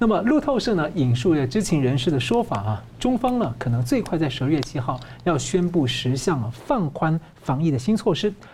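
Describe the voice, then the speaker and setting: A man talks with vocal fry and very wide pitch swings. His loudness stays very even. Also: moderate pace. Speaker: news show host. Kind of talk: news talk show interview.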